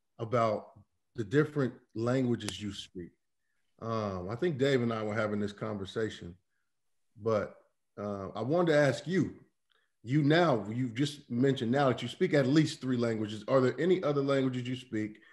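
There are long, frequent pauses as a man talks at a moderate pace. His pitch variation is ordinary. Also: quiet background. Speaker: podcast co-host. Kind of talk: casual chat. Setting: video call. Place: home room. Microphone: video call.

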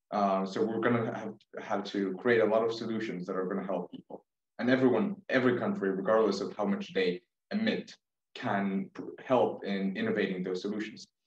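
A man speaks at a fairly quick pace in a fairly low pitch, with fairly even intonation. Audible room echo sits over a quiet background. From Israel. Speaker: youth climate activist; panelist. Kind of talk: panel discussion. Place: home room. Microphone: webcam.

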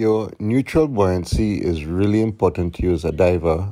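A man speaks in a plain, everyday voice over a quiet background. His fairly low pitch shows ordinary variation at a moderate pace. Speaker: diving instructor. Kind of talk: tutorial.

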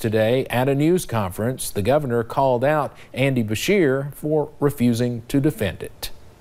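A man with an unremarkable speaking voice at medium pitch, moderate pace, ordinary pitch variation and hardly any pauses. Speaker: news anchor. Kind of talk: news reading. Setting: studio. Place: studio. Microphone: lapel.

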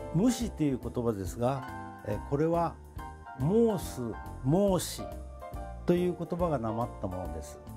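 Over clear music in the background, a man speaks at a fairly slow pace with long, frequent pauses. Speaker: local dialect researcher. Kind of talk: dialect explanation. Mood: warm, smiling. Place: home room.

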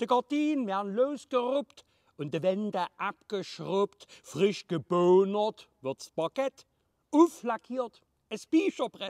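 The pace is very slow and the pitch swings very widely. The sound is dry with no echo, over a quiet background. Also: man. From Leipzig, Saxony. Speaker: comedian. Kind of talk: dialect poetry reading. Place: garden. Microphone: phone near.

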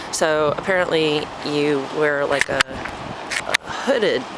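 Loud background noise surrounds a man talking. There is no echo, and the sound is dry. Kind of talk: casual vlog chat. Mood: cheerful, relaxed. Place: waterside. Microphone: phone near.

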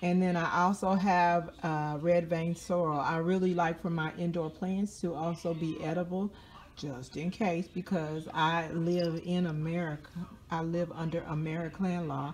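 A woman speaks fairly slowly in a fairly low, monotone voice with flat intonation over light background noise. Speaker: home gardener vlogger. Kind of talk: casual vlog chat. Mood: playful, chatty. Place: home room. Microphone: phone near.

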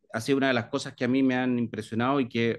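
This is a man's voice. The background is quiet. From Chile, Viña del Mar; Chile. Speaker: library director; interviewee. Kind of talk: interview. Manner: hesitant, many fillers. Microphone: video call.

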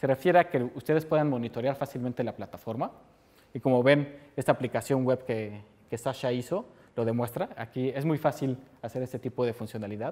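This man talks at a fairly quick pace, his pitch varying in an ordinary way. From Mexico. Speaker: software developer, conference speaker; conference speaker. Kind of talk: technical conference talk. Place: meeting room. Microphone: lapel.

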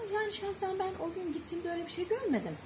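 Background noise is noticeable. Over it, a woman talks. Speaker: animal rescuer. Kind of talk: casual chat. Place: street.

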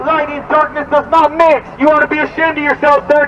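A man's loud, extremely high voice in a monotone, flat intonation at a fairly quick pace, over light background noise. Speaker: street preacher. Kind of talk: street preaching, loud, confrontational. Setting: outdoors. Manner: loud, fervent, urgent. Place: street. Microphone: camera far.

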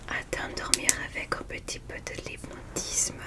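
A soft-spoken woman at a very slow pace, under loud background noise. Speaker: ASMR creator. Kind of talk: soft-spoken guided relaxation. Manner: soft, hushed ASMR voice. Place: home room.

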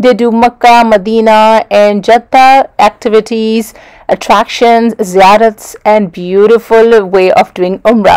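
Against a quiet background, a woman talks at a fairly slow pace with fairly even intonation and very even loudness. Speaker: travel vlogger. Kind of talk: casual vlog chat. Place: car.

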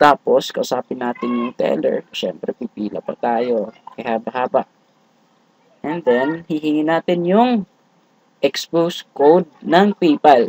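Speaking at a fairly slow pace, a man with a fairly high pitch uses lively intonation in a dry, close sound with no echo. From Visayas, Philippines. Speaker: tech YouTuber. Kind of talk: tutorial. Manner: halting.

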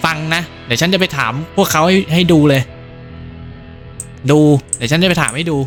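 Over music in the background, a man speaks in a playful tone with a fairly high pitch and ordinary pitch variation. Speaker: gaming YouTuber. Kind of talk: horror game let's play commentary with Thai dubbing of dialogue. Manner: casual, playful.

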